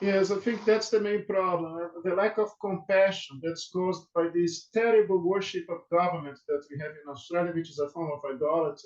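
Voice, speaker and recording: A high-pitched man with a Brazilian Portuguese accent, talking at a fairly quick pace with hardly any pauses. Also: ordinary pitch variation. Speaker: law professor. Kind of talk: webinar interview. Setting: video call. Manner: halting, many fillers and repetitions.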